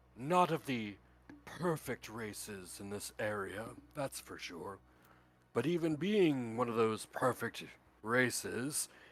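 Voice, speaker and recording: A man performs a put-on character voice. His pitch swings very widely. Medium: actual play. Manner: fatherly, rambling.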